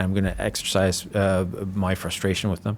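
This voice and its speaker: Here is an unremarkable speaking voice from a man with a Canadian accent. He talks at a moderate pace with a fairly low pitch. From Canada. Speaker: podcast host. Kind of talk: podcast interview.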